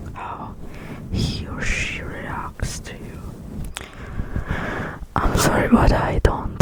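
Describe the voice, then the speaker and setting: Whispering in a soothing tone at a very slow pace, the speaker is heard over noticeable background noise. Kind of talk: ASMR comfort talk. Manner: whispered; soft-spoken, soothing.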